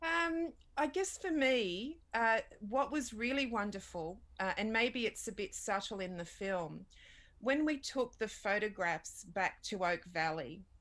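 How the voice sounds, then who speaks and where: Speaking at a fairly slow pace, a woman with an Australian accent has a fairly high pitch and very wide pitch swings. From Australia, Redfern in Sydney; Sydney, Australia. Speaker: documentary filmmaker. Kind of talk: interview. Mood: earnest, reflective. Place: home room. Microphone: webcam.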